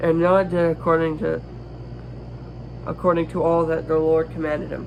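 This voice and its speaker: Moderate-paced male speech amid noticeable background noise, plus audible room echo. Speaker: youtuber reading scripture. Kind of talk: reading aloud. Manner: halting, stumbles over words.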